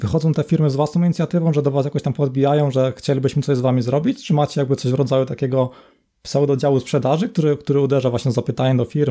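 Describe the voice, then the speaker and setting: A man's dark, mellow voice at medium pitch, very fast pace, very clean recording, silent background. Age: 20s. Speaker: podcast host. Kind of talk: interview.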